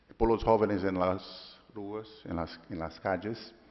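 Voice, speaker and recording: This man speaks with a Portuguese accent. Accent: Portuguese-accented Spanish (portuñol). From Brazil. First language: Portuguese (speaking Spanish). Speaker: legislative IT official. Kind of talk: conference talk. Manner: halting, self-correcting.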